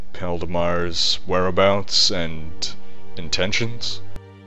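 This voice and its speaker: A man's put-on character voice, very deep and low, at a very slow pace amid clear background noise. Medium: actual play. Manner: formal, measured.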